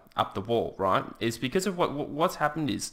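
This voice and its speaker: Fast-ish and bright, a man speaks in a sharp tone with an Australian accent at a fairly quick pace. The recording is very clean, the background silent. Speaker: podcast co-host. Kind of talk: casual political chat. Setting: studio.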